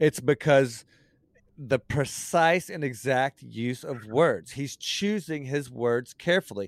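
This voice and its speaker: In a very clean recording with a silent background and a dry, close sound with no echo, a man with an American accent speaks very slowly at a fairly high pitch with lively intonation. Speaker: podcast host. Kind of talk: casual chat. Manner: loud.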